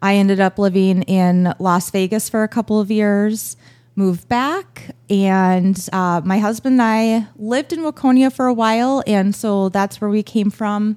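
In an unremarkable speaking voice, a woman of medium pitch talks at a fairly slow pace with hardly any pauses, the sound dry and close without echo. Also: ordinary pitch variation, very even loudness. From Minnesota, Buffalo. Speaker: newspaper advertising salesperson. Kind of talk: casual interview.

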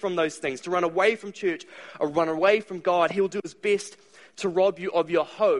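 Pitch moves with ordinary variation. The voice is a natural reading voice.

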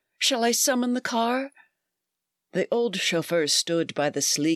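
At a fairly slow pace, a woman speaks in a dramatic tone with very wide pitch swings, the sound dry and close with no echo and the background quiet. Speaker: podcast host and author. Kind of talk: reading aloud a rhyming verse story, bedtime story telling. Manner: storyteller's lilting, sing-song rhythm with dramatic, expressive character voices.

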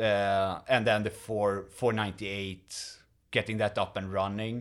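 On a very clean recording with a silent background, a man with a Swedish accent and fairly low pitch speaks at a moderate pace. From Sweden. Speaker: museum volunteer, streetcar mechanic. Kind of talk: casual interview.

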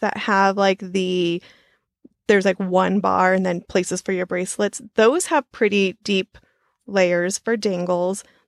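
In a very clean recording with a silent background, a woman with an unremarkable speaking voice and medium pitch talks at a fairly slow pace, the sound dry and close with no echo. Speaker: podcast co-host, charm collector. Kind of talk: casual chat.

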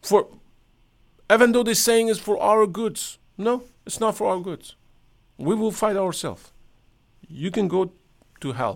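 Speaking at a fairly slow pace with long, frequent pauses, a man with a Persian accent uses a high pitch and ordinary pitch variation. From Iran. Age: 60s. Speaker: podcaster. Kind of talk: casual monologue. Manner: halting.

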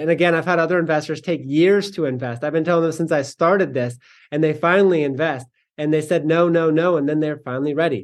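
Against a quiet background, a man with an unremarkable speaking voice talks at a fairly quick pace, with fairly even intonation and a fairly high pitch. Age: 20s. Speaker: real estate investor. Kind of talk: interview.

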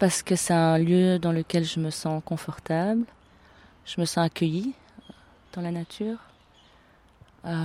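With a dark, mellow tone, a woman talks through long, frequent pauses in a dry, close sound with no echo. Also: fairly even intonation, fairly slow pace. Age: 40s. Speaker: artist and photographer. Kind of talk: interview testimony. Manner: halting with frequent hesitations.

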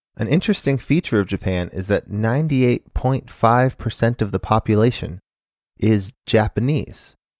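In an American accent, a man with an unremarkable speaking voice talks at a moderate pace with ordinary pitch variation, and the sound is dry and close with no echo. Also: medium pitch for a man, very clean recording, silent background. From Arizona, US (Phoenix). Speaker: podcast host. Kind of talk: solo monologue commentary.

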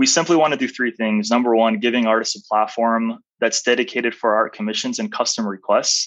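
Speaking with a General American accent, a man has an ordinary speaking voice at medium pitch, moving at a fairly quick pace with hardly any pauses and fairly even intonation. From Arizona, US. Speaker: art marketplace founder. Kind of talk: interview.

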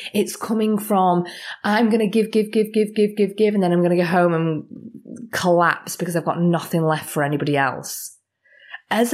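A woman is speaking. Her pitch is medium. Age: 30s. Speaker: spiritual life coach and energy healer. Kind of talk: solo podcast monologue. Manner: animated.

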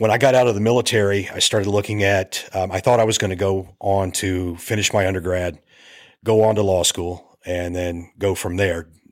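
A man's fairly low-pitched, a plain, everyday voice, with fairly even intonation and a moderate pace. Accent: American. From US Appalachia. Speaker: filmmaker and navy veteran. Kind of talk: casual interview.

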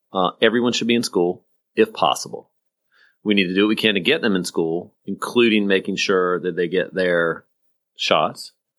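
Speaking at a moderate pace in an American accent, a man with an unremarkable speaking voice uses a fairly low pitch and ordinary pitch variation. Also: very clean recording, silent background. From rural South Carolina. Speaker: podcast co-host, former politician. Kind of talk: casual political chat.

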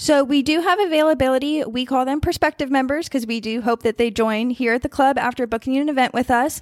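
A woman with a high pitch and an American accent, very fast pace and ordinary pitch variation. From Northern Virginia (Warrenton). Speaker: yacht club events director. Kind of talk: interview.

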